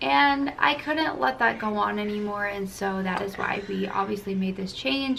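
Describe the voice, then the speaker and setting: Amid noticeable background noise and audible room echo, a woman talks at a moderate pace and medium pitch with lively intonation. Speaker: family vlogger. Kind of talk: casual chat. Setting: at home with her toddler. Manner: halting.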